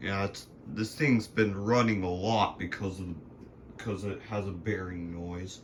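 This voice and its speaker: A somewhat breathy man talks at a fairly slow pace and a fairly low pitch with fairly even intonation. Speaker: ceiling fan enthusiast vlogger. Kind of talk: casual home video tour. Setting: at home.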